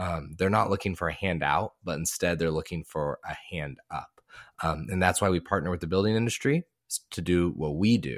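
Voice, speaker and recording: This man's voice sits very deep and low in pitch, and he has an American accent. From Texas. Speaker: podcast host. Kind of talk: casual interview. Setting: video call.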